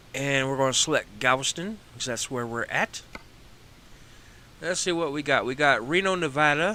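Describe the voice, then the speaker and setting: Speaking in a Texas accent, a man uses a fairly high pitch, a relaxed tone and ordinary pitch variation. His pace is moderate, with long, frequent pauses. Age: 40s. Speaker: gaming streamer. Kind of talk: gameplay live stream commentary. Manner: casual, relaxed.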